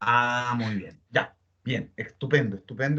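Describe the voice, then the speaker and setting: Moving at a fairly quick pace, a man speaks. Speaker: teacher. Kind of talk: online class. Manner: fast.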